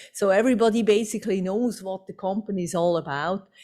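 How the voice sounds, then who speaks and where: Recorded very cleanly with a silent background, a woman speaks at a medium pitch with ordinary pitch variation. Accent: Swiss. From Switzerland. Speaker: company executive. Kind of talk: conference presentation.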